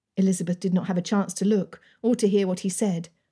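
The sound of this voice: The speaker reads in an unforced reading voice, keeping the intonation fairly even.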